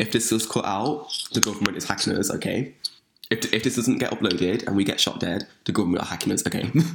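At a very fast pace, a medium-pitched man with an English accent speaks with ordinary pitch variation over noticeable background noise. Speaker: podcast host. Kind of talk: casual chat.

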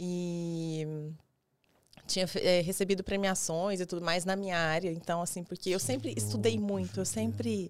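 At a moderate pace, a woman with fairly low pitch speaks on a very clean recording with a silent background. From Goiás, Brazil. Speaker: dentist and weight-loss mentor. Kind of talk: casual interview chat. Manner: halting, many fillers.

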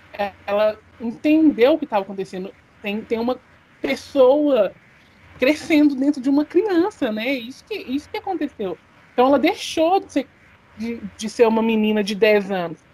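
Over noticeable background noise, a woman talks at a moderate pace and high pitch, with very wide pitch swings, big swings in loudness and long, frequent pauses. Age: 20s. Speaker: podcast co-host, business student. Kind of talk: casual discussion of a serious news topic.

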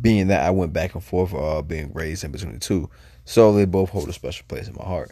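A man speaks with a very deep, low pitch and a dark, mellow tone, showing vocal fry. His pace is fairly quick, with ordinary pitch variation and big swings in loudness. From New Jersey and South Carolina. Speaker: university student. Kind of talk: recorded self-introduction for class.

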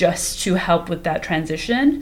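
A woman speaks in an ordinary speaking voice with a fairly low pitch. Her pace is fairly slow. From Canada, North York (Toronto). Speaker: podcast co-host. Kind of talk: casual chat.

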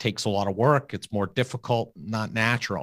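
A man with an American accent talks at a moderate pace in a medium pitch. It is an unremarkable speaking voice, captured in a very clean recording with a silent background. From US Northeast, Long Island, New York. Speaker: financial advisor and podcast host. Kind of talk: interview conversation.

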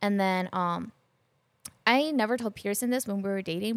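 On a very clean recording with a silent background, a woman with an unremarkable speaking voice speaks at a medium pitch and a moderate pace. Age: 30s. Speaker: podcast guest sharing relationship advice. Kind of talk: casual chat.

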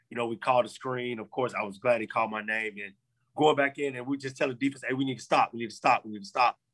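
A man with an American accent speaks at a very fast pace in a medium pitch, his intonation fairly even but his loudness swinging widely. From Central Florida, Polk County. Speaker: former pro football player. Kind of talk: interview.

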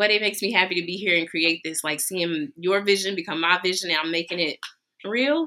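At a fairly quick pace, a woman speaks in a shaky voice of medium pitch. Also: ordinary pitch variation. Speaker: baker, small business owner. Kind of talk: live podcast interview. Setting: lounge with live audience. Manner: slightly shaky.

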